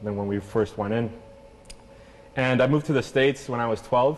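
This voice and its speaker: A man's voice against noticeable background noise. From Venezuela, then Canada from age six. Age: 20s. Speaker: clothing company founder. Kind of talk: interview.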